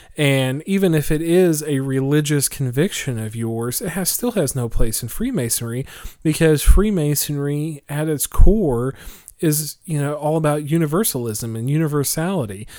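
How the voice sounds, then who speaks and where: A man with a dark, mellow tone speaks fairly high at a moderate pace. His intonation is lively and the recording very clean with a silent background. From Oklahoma, small town. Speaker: podcast co-host, Freemason. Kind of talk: casual chat.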